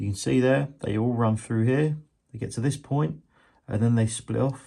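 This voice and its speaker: A man's medium-pitched, dark, mellow voice at a fairly quick pace, with a quiet background. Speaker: model railway hobbyist. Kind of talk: tutorial. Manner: monotone; casual.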